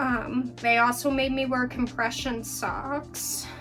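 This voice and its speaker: The woman talks very slowly. Behind her, music can be heard. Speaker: new mother. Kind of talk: casual talk to camera.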